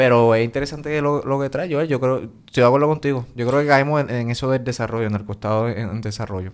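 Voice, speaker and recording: Barely pausing, a man rushes along at a very fast pace in a medium pitch with ordinary pitch variation. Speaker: podcast host. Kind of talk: interview.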